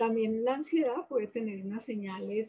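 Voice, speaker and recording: A woman at a moderate pace, fairly high in pitch, with a plain, everyday voice. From Colombia, Manizales. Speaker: psychiatrist. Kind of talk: interview.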